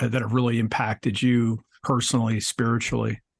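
A man speaks at a medium pitch with vocal fry. The background is quiet. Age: 50s. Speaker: podcast host and spiritual coach. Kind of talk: interview.

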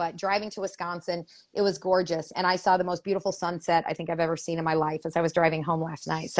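A woman's put-on character voice, hoarse and raspy, fairly low in pitch, very fast and monotone, flat in intonation

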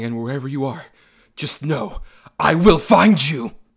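Using a put-on character voice, a man with a fairly high pitch speaks at a moderate pace with very wide pitch swings. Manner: sinister, menacing, threatening.

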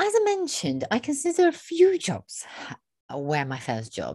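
Against a quiet background, a woman speaks in a dark, mellow tone that is somewhat breathy. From Iraq. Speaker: podcast co-host. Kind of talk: casual chat.

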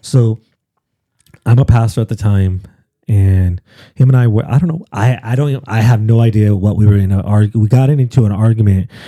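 A man's dark, mellow voice with long, frequent pauses and ordinary pitch variation, in a dry, close sound with no echo. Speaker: pastor. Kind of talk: casual chat.

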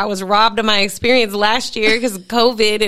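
A woman talks in a fairly high, bright and sharp voice with monotone, flat intonation. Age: 20s. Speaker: esthetician. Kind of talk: casual chat.

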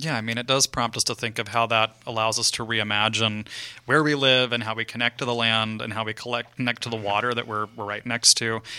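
This man talks fairly quickly at a medium pitch with a bright, sharp tone. His intonation stays monotone and flat. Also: hardly any pauses. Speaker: radio host. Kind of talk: radio interview. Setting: studio.

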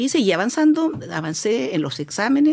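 A woman speaks with very wide swings in pitch. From Chile, grew up in Sewell mining camp (O'Higgins region). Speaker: social worker. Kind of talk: interview.

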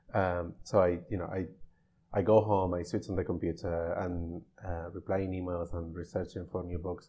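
In a Spanish accent, a man with a very deep, low pitch speaks at a moderate pace in a monotone, flat intonation. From Spain, Navarra (Pamplona). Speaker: bookseller. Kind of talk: casual interview. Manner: halting.

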